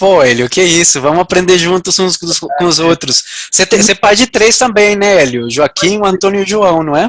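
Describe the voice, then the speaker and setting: Dry and close with no echo, a man's high voice moves at a fairly quick pace. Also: ordinary pitch variation. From outside Brazil. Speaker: blogger and interviewer. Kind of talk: casual chat.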